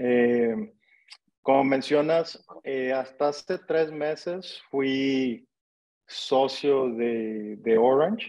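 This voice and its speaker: A man with a northern Mexican accent, a dark, mellow tone, and medium pitch, at a very slow pace. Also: ordinary pitch variation. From Mexico, Monterrey. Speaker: real estate entrepreneur. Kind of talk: interview.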